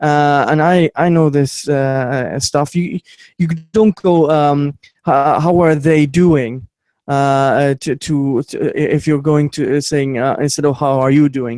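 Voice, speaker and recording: In a dry, close sound with no echo, a man speaks very slowly at a fairly high pitch. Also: fairly even intonation. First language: not English. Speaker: YouTube commentator. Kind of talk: casual chat. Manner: halting, many stammers and fillers.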